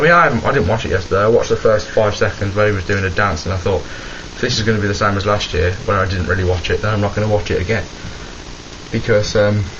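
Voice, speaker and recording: A man talks at a very fast pace in a fairly low pitch. Audible room echo and noticeable background noise are present. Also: ordinary pitch variation. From West Midlands, England (Birmingham). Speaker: vlogger. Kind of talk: casual rant to camera. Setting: home, camera in wardrobe. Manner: animated.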